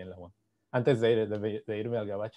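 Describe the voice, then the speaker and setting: A man speaks with a dark, mellow tone. His pace is fairly quick. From Mexico. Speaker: physicist giving a seminar; presenter. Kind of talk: lecture; seminar lecture. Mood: happy, warm greetings. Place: home room. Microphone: video call.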